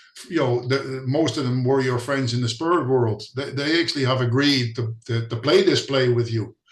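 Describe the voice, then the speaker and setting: With hardly any pauses, the speaker keeps a fairly even intonation against noticeable background noise. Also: man, medium pitch for a man, moderate pace. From Netherlands. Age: 60s. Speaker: spiritual healing visitor. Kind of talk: casual interview. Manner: hesitant, repeats words.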